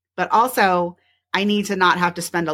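A woman with a fairly low pitch speaks at a moderate pace in an ordinary speaking voice, on a very clean recording with a silent background. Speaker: podcast host and family photographer. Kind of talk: solo podcast monologue.

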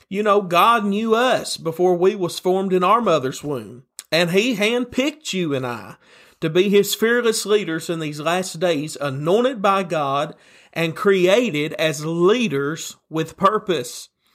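With a Tennessee accent and lively intonation, this voice moves at a fairly slow pace on a very clean recording with a silent background. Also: man, high pitch for a man. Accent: Southern US (Tennessee). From Tennessee, US South. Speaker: pastor. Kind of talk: sermon.

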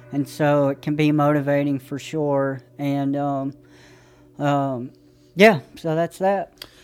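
Speaking at a very slow pace with an Appalachian accent, a man uses a fairly high pitch and fairly even intonation. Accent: Appalachian US South. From East Tennessee, Johnson City. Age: 30s. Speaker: army veteran in recovery. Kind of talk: interview.

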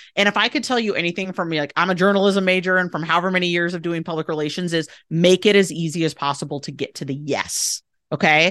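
A woman with a fairly low voice speaks at a very fast pace in an enthusiastic tone. The background is quiet. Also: ordinary pitch variation. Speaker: PR agency owner. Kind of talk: interview. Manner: enthusiastic, conversational.

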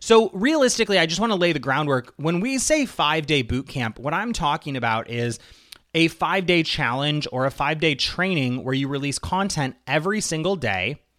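A bright, sharp tone on a very clean recording with a silent background. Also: man. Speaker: podcast host and online marketing coach. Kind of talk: promotional pitch and teaching monologue.

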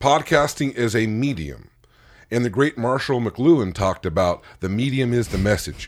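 In a normal speaking voice with an American accent, the speaker talks at a moderate pace with lively intonation on a very clean recording with a silent background. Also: man, medium pitch for a man. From California. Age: 40s. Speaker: podcast host, guest. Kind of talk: casual chat. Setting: basement home studio.

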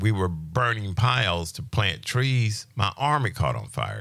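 On a very clean recording over a silent background, a man speaks fairly slowly at a fairly low pitch, with a bright, sharp tone, vocal fry and lively intonation. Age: 60s. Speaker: healing ministry teacher. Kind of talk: testimony; religious teaching. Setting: radio studio interview.

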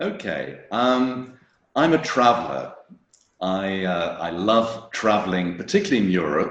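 A man with a British accent, medium-pitched, fairly slow, with very wide pitch swings and audible room echo. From England. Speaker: wine tour operator. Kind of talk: casual interview. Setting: video call. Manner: halting, many repetitions and fillers.

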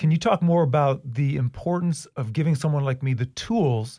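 In a very clean recording with a silent background, a somewhat breathy man at medium pitch talks fairly quickly with ordinary pitch variation. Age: 40s. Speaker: podcast host, school district video producer. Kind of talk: interview conversation.

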